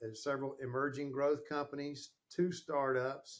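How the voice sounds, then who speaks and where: A man with a Southern US accent, fairly high pitch and a fairly slow pace. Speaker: sales and marketing consultant. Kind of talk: interview podcast.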